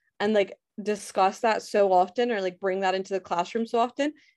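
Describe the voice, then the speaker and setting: Speaking at a medium pitch and moderate pace, a woman has a Scottish accent and fairly even intonation. The sound is dry and close with no echo, and the background is quiet. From Scotland. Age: 20s. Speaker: podcaster and education worker. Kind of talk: casual chat.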